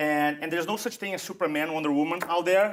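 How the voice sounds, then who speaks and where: A man speaks in a Portuguese accent at a fairly high pitch. His pitch varies in an ordinary way. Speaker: public speaking coach. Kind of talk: interview.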